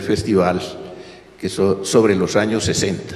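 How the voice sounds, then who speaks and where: Noticeable background noise fills the recording. Through it, a man talks at a moderate speed. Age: 80s+. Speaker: author and former professor. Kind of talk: panel talk at a history festival. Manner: halting, with false starts.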